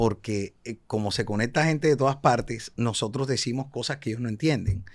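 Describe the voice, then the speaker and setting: A man with a coastal Colombian accent talks at a moderate pace and a medium pitch, with ordinary pitch variation. The recording is very clean, with a silent background. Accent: Colombian coastal (costeño) Spanish. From Cartagena, Colombian Caribbean coast. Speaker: actor. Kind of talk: casual interview chat.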